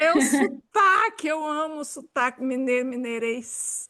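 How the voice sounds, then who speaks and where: A woman projects her voice at a high pitch with ordinary pitch variation. Her tone is bright and sharp. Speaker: podcast host. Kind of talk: casual chat.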